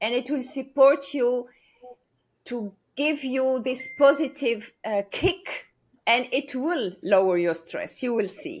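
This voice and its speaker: Speaking at a very slow pace, a woman with a non-native accent uses a high pitch. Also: lively intonation. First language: not English. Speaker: stress coach and speaker. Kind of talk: interview. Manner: hesitant, many fillers.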